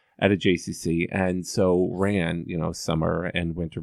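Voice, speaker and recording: In an American accent, a man speaks with a very deep, low pitch. His intonation stays fairly even. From US Midwest, Columbus, Ohio. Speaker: nonprofit executive. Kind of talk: interview. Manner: halting.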